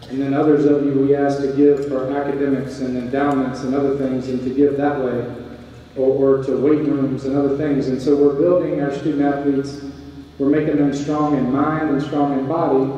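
A man at a moderate pace, heard in strong room echo. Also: fairly high pitch for a man. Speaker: university athletic director. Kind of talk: welcome speech. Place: hall.

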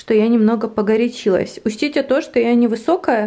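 A woman's high-pitched voice with ordinary pitch variation over a quiet background. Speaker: vlogger. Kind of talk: casual vlog chat. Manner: animated, emotional. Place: home room.

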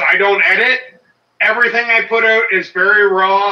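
A raised, projected voice carries at a fairly slow pace through audible room echo. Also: man. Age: 40s. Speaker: homesteader. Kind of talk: casual chat. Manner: loud. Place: home room. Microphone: phone held too close; phone near.

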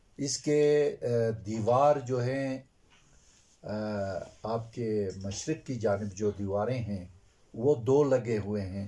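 Very slowly, a man speaks in a dark, mellow tone with ordinary pitch variation. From Gulmit, Hunza, Gilgit-Baltistan, Pakistan; Gilgit-Baltistan, Pakistan. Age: 60s. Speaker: retired school teacher. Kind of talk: interview. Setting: on location. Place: home room.

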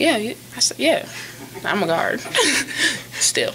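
A woman's fairly high voice with a bright, sharp tone, big pitch swings, and a slow pace over faint background noise.

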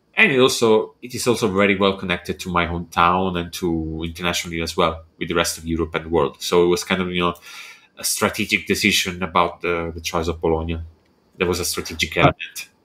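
The speaker uses a bright, sharp tone and an Italian accent at a very fast pace. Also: man, very deep, low pitch for a man, fairly even intonation. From Italy. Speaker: architectural visualization artist and entrepreneur. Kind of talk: casual interview chat. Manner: halting, with frequent repetitions.

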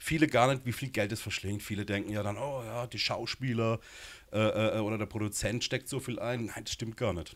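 Fairly quick in pace, a man talks with fairly even intonation. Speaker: guest. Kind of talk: interview answer. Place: studio. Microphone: handheld.

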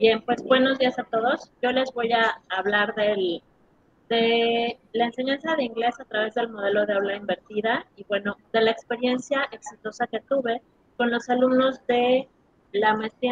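At a moderate pace, a woman speaks with fairly high pitch and ordinary pitch variation, in a dry, close sound with no echo.

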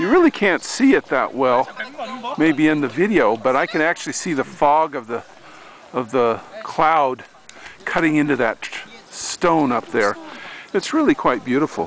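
A man talks at a moderate pace, leaving long, frequent pauses. The sound is dry with no echo over light background noise. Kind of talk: casual travel commentary. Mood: relaxed, admiring. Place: open country. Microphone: phone near.

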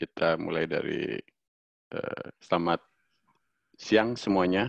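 A man speaks at a very slow pace against a quiet background. The sound is dry, with no echo. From Bali. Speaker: freelance designer and social media specialist. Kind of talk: online workshop presentation. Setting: video call. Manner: hesitant, many filler sounds. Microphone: video call.

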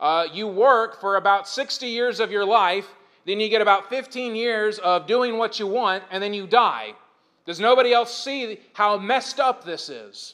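A man speaks loudly in a bright, sharp tone with a high pitch. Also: ordinary pitch variation, moderate pace. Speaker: pastor. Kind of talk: sermon.

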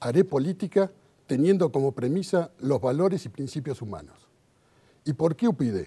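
With a dark, mellow tone and a somewhat breathy quality, a man talks at a moderate pace in a fairly high pitch with lively intonation. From Argentina. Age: 50s. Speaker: political candidate; candidate. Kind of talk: election debate statement. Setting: auditorium stage. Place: hall. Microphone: lapel.

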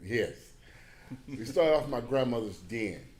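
With audible room echo, a man with an American accent speaks at a moderate pace with ordinary pitch variation. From Beaumont, Texas. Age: 60s. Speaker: church brotherhood president. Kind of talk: public comment at hearing. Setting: city planning commission meeting.

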